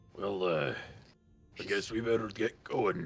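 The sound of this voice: The delivery moves at a moderate pace. It is a put-on character voice. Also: man, medium pitch for a man.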